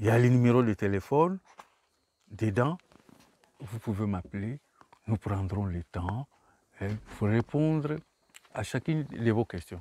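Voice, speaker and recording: A man speaks at a medium pitch and a fairly slow pace. His intonation is lively, broken by long, frequent pauses. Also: dry, close sound with no echo. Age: 60s. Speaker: author. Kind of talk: book talk. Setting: bookshop. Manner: halting.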